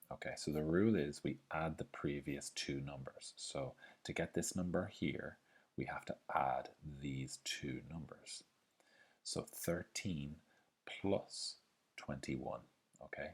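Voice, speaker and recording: A man at a fairly slow pace, with long, frequent pauses. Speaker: maths teacher. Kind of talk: tutorial.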